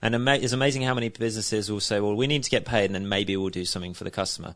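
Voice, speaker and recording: A man with a southern English accent, fairly low in pitch, with ordinary pitch variation. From Isle of Wight, southern England. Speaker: business founder. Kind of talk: interview. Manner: hesitant, with fillers and restarts.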